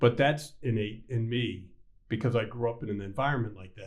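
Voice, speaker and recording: The speaker is a man with a somewhat breathy voice. His pace is moderate. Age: 60s. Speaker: bank CEO and podcast host. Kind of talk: casual interview chat.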